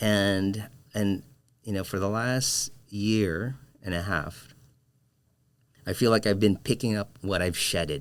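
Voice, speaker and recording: A man with a Filipino accent speaks very slowly, with long, frequent pauses and a fairly low pitch. His pitch varies normally, and the recording is very clean with a silent background. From Philippines, moved to Michigan at 11. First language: Filipino language. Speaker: designer and educator. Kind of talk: casual interview conversation. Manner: halting, many fillers and repeats.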